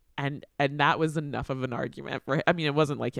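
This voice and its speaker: This is a normal speaking voice with a dry, close sound and no echo. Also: man. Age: 40s. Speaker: podcast host, teaching artist. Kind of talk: casual interview chat.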